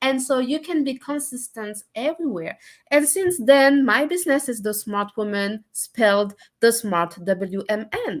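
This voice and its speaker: A woman with a French accent, high-pitched, with lively intonation at a fairly slow pace. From France. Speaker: entrepreneur. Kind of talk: casual chat. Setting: live stream. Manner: hesitant, many fillers.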